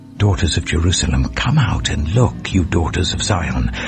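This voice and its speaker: Over music in the background, a man talks in a calm, soothing tone with very wide pitch swings. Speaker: audiobook narrator. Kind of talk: Bible audiobook reading.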